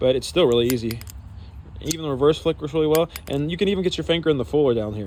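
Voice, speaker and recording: A man talking at a very fast pace. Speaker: knife reviewer. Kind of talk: product review. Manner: casual with many fillers.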